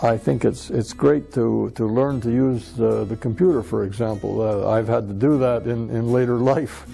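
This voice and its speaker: Music plays in the background. The pitch varies in an ordinary way. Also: man, medium pitch for a man, moderate pace. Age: 60s. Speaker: retired mining engineer. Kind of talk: interview answer. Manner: hesitant, halting.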